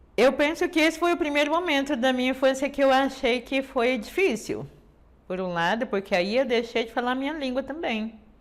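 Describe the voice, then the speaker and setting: A woman at a moderate pace with very wide pitch swings, in a very clean recording with a silent background. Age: 60s. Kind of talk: testimony. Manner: halting, many fillers.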